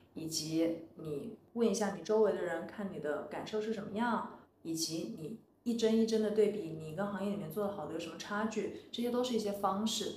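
A woman with a medium pitch speaks at a moderate pace with ordinary pitch variation. Noticeable background noise and audible room echo are present. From China, Wuhan. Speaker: former designer turned entrepreneur. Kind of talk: interview conversation.

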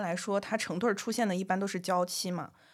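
A woman with an unremarkable speaking voice, medium pitch, ordinary pitch variation and a fairly quick pace on a very clean recording with a silent background. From southern China. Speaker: podcast co-host. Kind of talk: casual chat.

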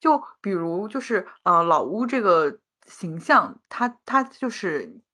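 Lively intonation and a bright, sharp tone come through against a quiet background. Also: woman. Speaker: podcast co-host. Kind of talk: casual chat.

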